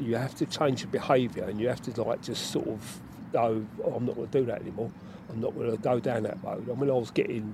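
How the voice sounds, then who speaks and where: This man talks very fast at a medium pitch, with ordinary pitch variation. His voice is somewhat breathy. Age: 60s. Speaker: mental health worker and army veteran. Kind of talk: casual interview.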